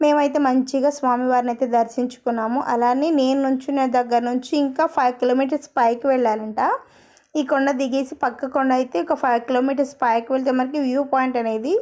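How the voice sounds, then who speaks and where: Her loudness stays very even as this woman speaks with a high pitch and fairly even intonation. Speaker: travel vlogger. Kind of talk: vlog voice-over narration. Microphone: phone mic recording voice-over.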